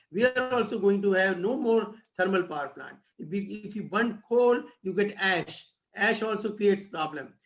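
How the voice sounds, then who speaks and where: A high-pitched man with an Indian accent, ordinary pitch variation and a moderate pace, with audible room echo. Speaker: professor. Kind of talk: lecture. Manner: halting.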